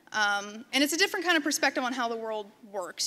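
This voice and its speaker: Loud, bright, sharp delivery in an American accent at a fairly quick pace. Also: woman. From western Pennsylvania, near Pittsburgh. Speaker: designer and photographer, conference speaker. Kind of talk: conference talk. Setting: stage with audience. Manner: casual, filler-heavy. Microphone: microphone close to her.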